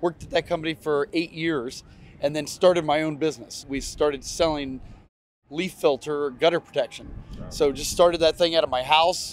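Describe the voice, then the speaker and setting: In an American accent, a man speaks at a moderate pace with fairly even intonation, his sound dry with no echo and light background noise behind him. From US Midwest (Ohio). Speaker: racing team owner and businessman. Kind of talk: interview. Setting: outdoors at a race track. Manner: casual, many fillers. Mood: relaxed, reflective storytelling. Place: stadium.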